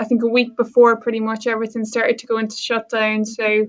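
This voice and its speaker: Her voice is fairly high in pitch for a woman. She speaks in a monotone with flat intonation. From Ireland, Waterford (south coast). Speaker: sport psychology lecturer. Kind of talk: podcast interview. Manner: hesitant, many fillers.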